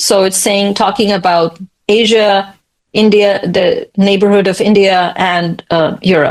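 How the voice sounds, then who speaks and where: This woman has an ordinary speaking voice at medium pitch. Her pitch variation is ordinary. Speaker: astrology and Nadi reader. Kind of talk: casual discussion.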